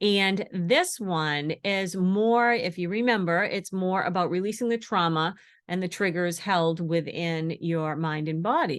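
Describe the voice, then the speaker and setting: Here is a woman with an unremarkable speaking voice and ordinary pitch variation. She speaks at a fairly slow pace with hardly any pauses. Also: medium pitch for a woman. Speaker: intuitive energy healing coach. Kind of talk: webinar presentation.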